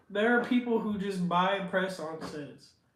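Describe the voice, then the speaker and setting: A man with an American accent at a moderate pace, with audible room echo. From Washington State, US. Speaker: livestreamer, content creator. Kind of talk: casual livestream chat.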